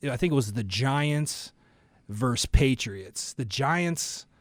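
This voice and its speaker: Here a man talks at a moderate pace in a fairly high voice with lively intonation. The recording is very clean, with a silent background. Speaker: sports podcast co-host. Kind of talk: casual chat. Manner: loud, animated.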